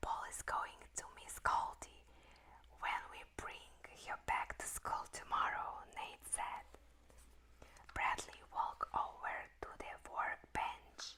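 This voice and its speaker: The voice is whispering. The pace is very slow. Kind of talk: whispered book reading. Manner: whispered, soft, slow.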